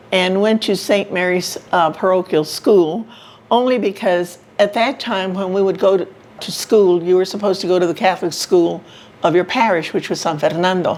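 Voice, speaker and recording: Against noticeable background noise, a woman speaks at a medium pitch with an American accent. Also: moderate pace. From San Antonio, Texas. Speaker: senior living resident. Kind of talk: life story interview. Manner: upbeat, cheerful.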